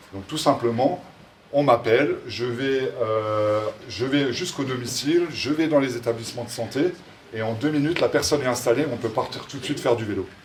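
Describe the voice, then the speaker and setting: A man's medium-pitched voice is heard through noticeable background noise. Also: ordinary pitch variation, moderate pace. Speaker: social entrepreneur presenting his project. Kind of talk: public presentation. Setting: event in front of an audience, no microphone. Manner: loud.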